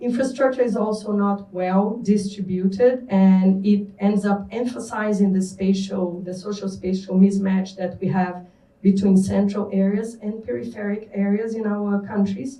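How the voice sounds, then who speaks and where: With a Brazilian accent and medium pitch, a woman talks at a moderate pace with hardly any pauses and fairly even intonation, in audible room echo. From Brazil, Rio de Janeiro. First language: Portuguese. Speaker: panelist on urban mobility. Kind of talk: panel talk. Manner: halting, many fillers.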